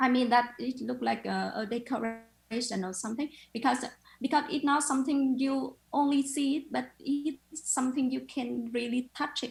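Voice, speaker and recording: A woman with a high pitch speaks with fairly even intonation. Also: moderate pace. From Vietnam. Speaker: photographer. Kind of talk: interview. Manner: halting.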